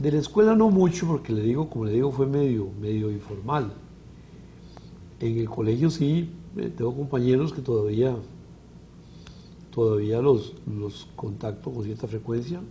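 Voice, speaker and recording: Speaking fairly slowly with long, frequent pauses, a man with a Costa Rican accent uses a medium pitch and ordinary pitch variation amid audible room echo. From Costa Rica, Alajuela. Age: 60s. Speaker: physician. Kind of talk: interview. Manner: halting.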